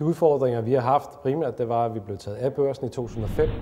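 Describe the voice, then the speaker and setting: A man with an unremarkable speaking voice. He talks at a fairly quick pace, with medium pitch and ordinary pitch variation. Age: 40s. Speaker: company chief executive. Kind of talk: promotional interview statement.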